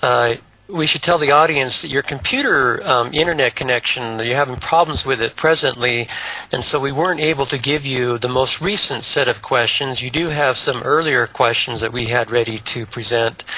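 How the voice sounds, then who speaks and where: Noticeable background noise sits under this recording. A man speaks at a moderate pace and medium pitch, with ordinary pitch variation. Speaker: talk show host. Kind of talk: interview.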